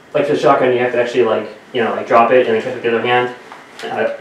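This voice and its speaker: A man speaks with fairly even intonation. Audible room echo and light background noise are present. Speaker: VR gamer streamer. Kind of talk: casual gameplay commentary. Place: home room.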